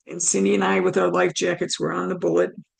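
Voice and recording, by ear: Raspy with vocal fry, a woman speaks at a moderate pace with fairly even intonation.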